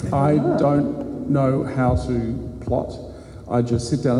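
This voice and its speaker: A man with an Australian accent speaks at a medium pitch and a fairly slow pace, with ordinary pitch variation. Noticeable background noise and audible room echo are present. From Queensland, Australia. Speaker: crime novelist. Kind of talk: panel discussion. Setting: stage with live audience.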